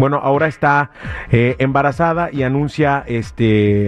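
Music plays in the background while a man speaks. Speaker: radio host. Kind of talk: radio DJ patter, casual gossip banter. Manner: animated, chatty.

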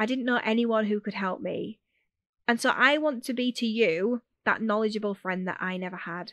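A woman's fairly high voice with a Yorkshire accent, at a moderate pace with ordinary pitch variation, in a dry, close sound with no echo over a quiet background. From Yorkshire, northern England. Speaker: podcast host, education business owner. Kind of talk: podcast monologue. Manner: direct, to the point.

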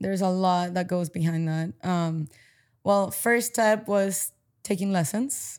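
An unremarkable speaking voice with ordinary pitch variation, on a very clean recording with a silent background. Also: woman, medium pitch for a woman, fairly slow pace. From Paraguay (Asunción), moved to US at 14. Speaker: padel player, former college tennis player. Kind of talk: casual interview. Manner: casual, filler-heavy (um, like, you know).

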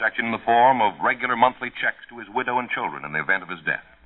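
A man is talking. His pace is very fast. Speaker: announcer. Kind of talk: public service announcement. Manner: formal, earnest.

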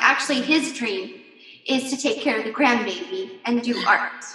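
Over noticeable background noise, a woman speaks in a raised, projected voice with a high pitch and a bubbly, animated tone. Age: 40s. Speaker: network marketing leader. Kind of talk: casual interview.

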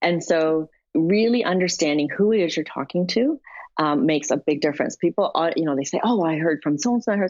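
A woman's plain, everyday voice with a Canadian accent, fairly low in pitch, lively in intonation, fairly quick in pace and very even in loudness. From Canada. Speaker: tech entrepreneur. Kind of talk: interview conversation.

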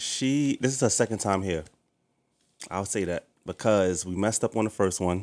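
In a New York accent, a man with a fairly low pitch speaks at a moderate pace with long, frequent pauses, the sound dry and close with no echo. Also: ordinary pitch variation. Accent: New York City. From New York City, Harlem. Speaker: podcast host. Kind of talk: casual interview chat.

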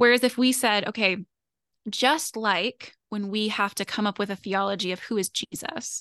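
The woman's voice is fairly high in pitch, with a bright, sharp tone and ordinary pitch variation at a moderate pace. The sound is dry and close with no echo, over a quiet background. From US (moved often, military family). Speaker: author and doctoral student in political theology. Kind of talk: interview conversation.

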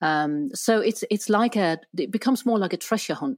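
A woman with a Danish accent talks at a moderate pace with ordinary pitch variation, in a very clean recording with a silent background and a dry, close sound with no echo. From Denmark. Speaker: relationship therapist and writer. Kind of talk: casual interview. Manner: hesitant, many fillers.

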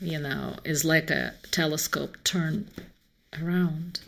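A woman is speaking. She has a Russian accent. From Moscow, Russia. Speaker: novelist. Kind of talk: interview.

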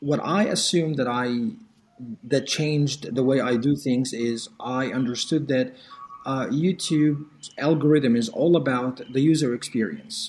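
Noticeable background noise sits behind this man. He talks at a fairly slow pace with a fairly high pitch. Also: ordinary pitch variation. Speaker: language teacher and YouTuber. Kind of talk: casual interview.

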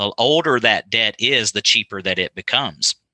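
In a West Texas accent, a man speaks at a moderate pace with a bright, sharp tone and a dry, close sound with no echo. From West Texas, small town. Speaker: benefits advisor. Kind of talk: podcast interview.

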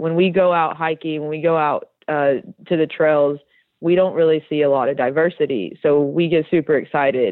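Speaking with an American accent at a moderate pace, a woman uses a very deep, low pitch and fairly even intonation. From Tennessee, US South. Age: 30s. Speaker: outdoor community founder. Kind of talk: interview.

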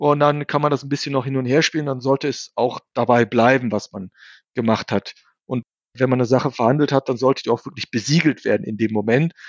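A man's speech comes at a fairly quick pace, with ordinary pitch variation and an ordinary speaking voice. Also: medium pitch for a man. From Germany, bicultural Turkish family. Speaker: investor and author. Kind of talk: interview.

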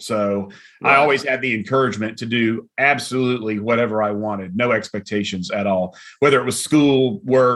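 In a normal speaking voice, a man talks at a fairly quick pace with medium pitch. His intonation is fairly even, and the background is quiet. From US South, middle Georgia. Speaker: coffee company founder and CEO. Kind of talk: interview.

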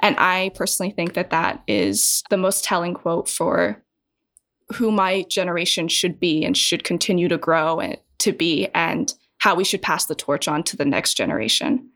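Lively intonation and vocal fry mark this American accent, heard at a moderate pace in a very clean recording with a silent background. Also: woman, fairly low pitch for a woman. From USA, working-class family. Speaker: production team member. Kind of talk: casual roundtable discussion.

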